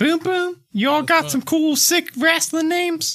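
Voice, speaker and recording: A man puts on a character voice at an extremely high pitch. He talks at a moderate pace. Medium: actual play. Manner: friendly, easygoing.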